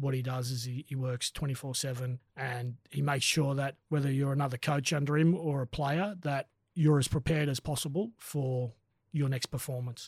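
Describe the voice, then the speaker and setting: A man with an Australian accent speaks at a moderate pace, with a fairly high pitch, fairly even intonation, and a somewhat breathy voice. The sound is dry and close with no echo, in a very clean recording with a silent background. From Australia, rural NSW (Kurri Kurri). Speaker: rugby league coach and former player. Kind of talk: casual interview chat. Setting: studio.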